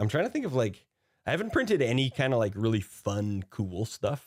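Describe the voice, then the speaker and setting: This is a man with an ordinary speaking voice and a fairly low pitch, talking at a moderate pace. The recording is very clean, with a silent background. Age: 30s. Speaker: streamer and musician. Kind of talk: casual chat. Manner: casual, profane.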